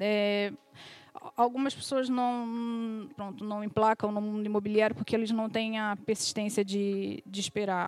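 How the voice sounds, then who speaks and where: A woman speaks at a moderate pace with a fairly high pitch. It is a normal speaking voice. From Brazil, Rio de Janeiro. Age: 40s. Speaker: real estate agent. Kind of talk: interview.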